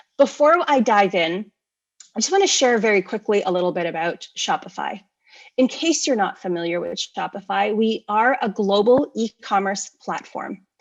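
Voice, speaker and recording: A plain, everyday voice from a woman with a Canadian accent, fairly high in pitch, with lively intonation at a moderate pace. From Canada. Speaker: e-commerce company speaker. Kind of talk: conference presentation. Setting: virtual conference.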